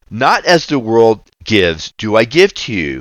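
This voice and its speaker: The recording is very clean, with a silent background. A man at medium pitch speaks with very wide pitch swings. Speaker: ministry founder and preacher. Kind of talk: devotional Bible reading and prayer. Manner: earnest, fervent, preaching.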